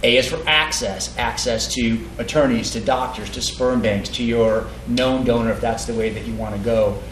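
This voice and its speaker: A man speaking with hardly any pauses, audible room echo and noticeable background noise. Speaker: sperm bank representative at an educational seminar. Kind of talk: seminar talk to an audience. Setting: event with live audience. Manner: fast; hesitant, many fillers and repeats.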